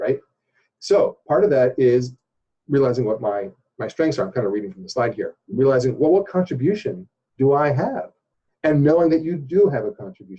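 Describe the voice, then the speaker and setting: A man's somewhat breathy voice has a dark, mellow tone and very wide pitch swings. He speaks at a fairly quick pace with big swings in loudness. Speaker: organizational development consultant. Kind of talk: interview explaining a training program. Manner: fast; hesitant, many fillers and repeats.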